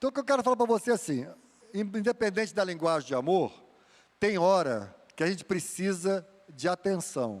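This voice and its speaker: Fairly quick speech with lively intonation, very even loudness and long, frequent pauses. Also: man, high pitch for a man. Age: 60s. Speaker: guest preacher, mental health counselor. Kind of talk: sermon.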